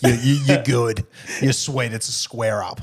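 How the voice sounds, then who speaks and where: Over noticeable background noise, a man with an Australian accent speaks at a moderate pace in an animated tone at a medium pitch. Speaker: podcast host. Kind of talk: casual chat.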